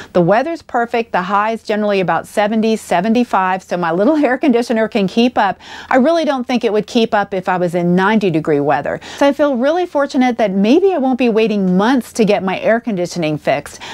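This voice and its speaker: A woman speaks at a fairly quick pace with hardly any pauses, her fairly high pitch moving in very wide swings. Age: 60s. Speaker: RV travel vlogger. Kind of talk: vlog monologue. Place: home room. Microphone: lapel.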